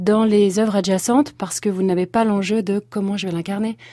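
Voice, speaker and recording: A fairly quick pace carries a voice with a dark, mellow tone. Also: woman. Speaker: stage actress. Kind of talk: interview. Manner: animated.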